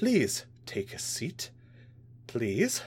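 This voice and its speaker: A strained, put-on character voice at a low-to-middle pitch comes through over clear background noise. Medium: read story. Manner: tense, barely restrained rage.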